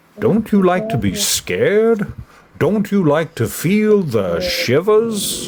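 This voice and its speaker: A man uses a put-on character voice pitched high. He talks at a very slow pace. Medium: read story. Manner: playful, mysterious.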